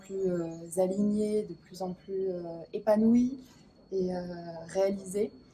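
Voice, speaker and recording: A woman is heard speaking while music plays in the background. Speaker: spiritual coach. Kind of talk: interview answer. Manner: hesitant, enthusiastic.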